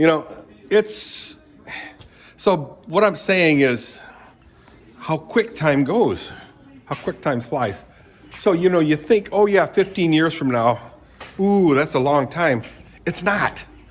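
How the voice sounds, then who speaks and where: A man with an American accent, a fairly high pitch and lively intonation, at a very slow pace with long, frequent pauses. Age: 70s. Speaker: retiree vlogger. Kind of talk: casual vlog monologue. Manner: rambling, self-correcting.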